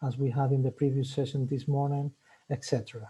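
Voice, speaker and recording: A fairly high-pitched, somewhat breathy man's voice with a Spanish accent. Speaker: webinar host. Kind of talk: webinar presentation. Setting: online webinar. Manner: hesitant, many fillers.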